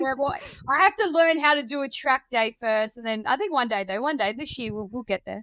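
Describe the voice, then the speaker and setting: A high-pitched woman with an Australian accent, fairly quick and with lively intonation. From South Australia, rural Riverland. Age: 20s. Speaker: drift car driver. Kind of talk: casual chat.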